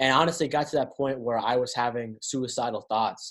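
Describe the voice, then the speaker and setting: A man with an ordinary speaking voice and an American accent, medium pitch, fairly even intonation and a fairly quick pace against a quiet background. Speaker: podcast host and author. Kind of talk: casual chat.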